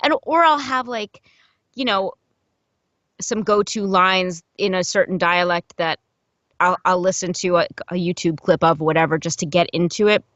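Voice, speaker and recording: The woman talks at a moderate pace, with long, frequent pauses and a slight New Jersey accent. Her pitch is medium, with ordinary variation. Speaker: audiobook narrator and voice actor. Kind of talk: casual interview chat. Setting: podcast interview.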